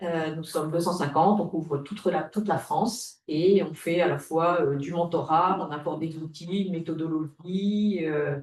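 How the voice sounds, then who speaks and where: This woman talks at a moderate pace with hardly any pauses, her fairly low voice holding a fairly even intonation. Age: 60s. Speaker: retired business owner, transfer association volunteer. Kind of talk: webinar panel talk. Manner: halting, many hesitations.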